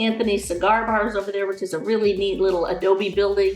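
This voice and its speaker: Music plays in the background. Over it, a woman speaks at a medium pitch. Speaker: real estate agent. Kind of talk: narrated map tour. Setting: screen recording at computer. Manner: fast; animated.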